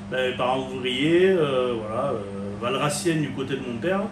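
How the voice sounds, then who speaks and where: A medium-pitched man with a Languedoc accent speaks with lively intonation over noticeable background noise and audible room echo. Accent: Béziers. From southern France, Béziers. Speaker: chef. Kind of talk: interview. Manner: halting.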